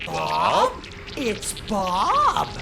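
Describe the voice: A man performs a cartoonish character voice. Background noise is clear.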